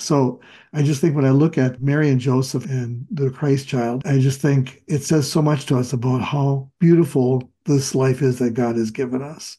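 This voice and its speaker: Somewhat breathy, a man speaks with fairly even intonation and hardly any pauses. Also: medium pitch for a man, moderate pace. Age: 70s. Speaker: retired pastor.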